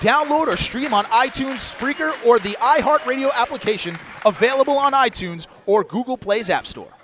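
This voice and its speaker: Noticeable background noise surrounds a man with an extremely high pitch. He talks at a fairly quick pace with lively intonation. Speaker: wrestling commentator. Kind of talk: play-by-play wrestling commentary.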